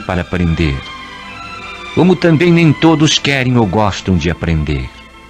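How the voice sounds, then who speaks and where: A man with a fairly low pitch speaks at a fairly slow pace in a solemn tone, with very wide pitch swings. Music plays in the background. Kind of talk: dramatic radio essay, poetic narration. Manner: solemn, measured.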